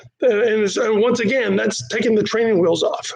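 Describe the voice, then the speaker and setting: A man speaks at an extremely high pitch over noticeable background noise. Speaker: martial arts instructor. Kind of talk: live-streamed class talk. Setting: live stream from training studio. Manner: casual, animated.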